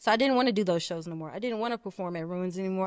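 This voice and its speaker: The sound is dry and close with no echo. A woman speaks with an American accent. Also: very clean recording, silent background. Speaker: rapper. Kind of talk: casual chat.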